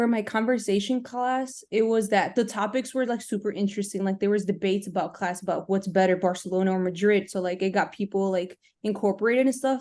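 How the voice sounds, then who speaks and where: A woman with a Spanish accent talks very fast at a medium pitch, with a dark, mellow tone and hardly any pauses. Her intonation is fairly even, and the background is quiet. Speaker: university student. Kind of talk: casual Q&A answer.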